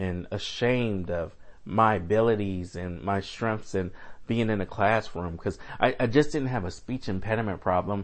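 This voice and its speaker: A man talks at a moderate pace in an ordinary speaking voice. His pitch is fairly low, with ordinary pitch variation. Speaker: guest sharing personal story. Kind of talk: personal testimony, storytelling.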